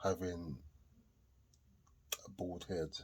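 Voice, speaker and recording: This man's voice is somewhat breathy. It sits at a very deep, low pitch. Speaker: vlogger. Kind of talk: casual commentary to camera. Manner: halting, with repetitions.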